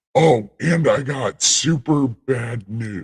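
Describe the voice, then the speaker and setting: A man in a put-on character voice at a medium pitch. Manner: grandiose, boastful.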